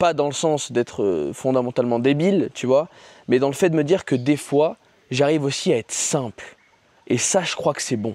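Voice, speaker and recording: This man has a fairly high pitch and a dark, mellow tone. He speaks at a moderate pace with ordinary pitch variation. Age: 20s. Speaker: YouTuber and sales coach. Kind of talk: casual vlog monologue. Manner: casual, hesitant with fillers.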